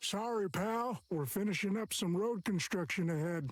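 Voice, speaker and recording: This is a put-on character voice pitched in the middle range. It moves at a moderate speed. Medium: video game. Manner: casual, blunt.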